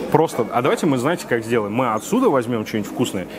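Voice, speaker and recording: Amid noticeable background noise, a man talks very fast. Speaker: food vlogger reviewing a cafe lunch. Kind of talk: casual vlog chat, ordering from a waiter. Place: cafe. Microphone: lapel.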